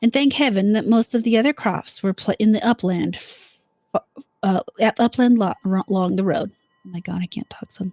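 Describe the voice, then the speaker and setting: A woman speaks fairly quickly at a fairly high pitch, with a dark, mellow tone and a somewhat breathy quality. The sound is dry and close, with no echo. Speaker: live streamer. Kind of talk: horror story reading.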